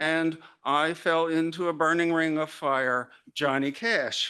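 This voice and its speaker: Against a quiet background, a bright, sharp voice speaks in an Arkansas accent. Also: man. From US South, Arkansas. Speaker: literary scholar and journal editor. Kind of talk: conference keynote lecture.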